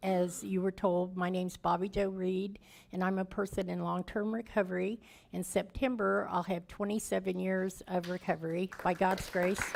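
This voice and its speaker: In a Midwestern American accent, a woman speaks at a moderate pace with monotone, flat intonation on a very clean recording with a silent background. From Kansas City, Kansas. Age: 60s. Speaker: recovery speaker and housing charity founder. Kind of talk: testimony. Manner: casual, conversational.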